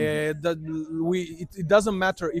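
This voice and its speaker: With a non-native accent, a man speaks fairly quickly in a high pitch, his intonation monotone and flat. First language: not English. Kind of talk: interview answer. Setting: outdoors.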